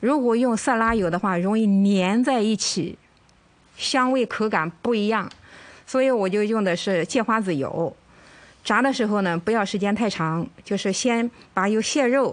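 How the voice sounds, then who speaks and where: A woman talks at a fairly slow pace in a plain, everyday voice, her loudness very even throughout. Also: fairly high pitch for a woman, ordinary pitch variation. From mainland China. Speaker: home cooking contestant. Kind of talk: cooking demonstration.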